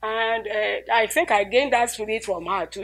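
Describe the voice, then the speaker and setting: A woman with a Nigerian accent is heard on a very clean recording with a silent background. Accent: Nigerian (Yoruba) English. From Nigeria, Ilesha. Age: 80s+. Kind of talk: interview answer.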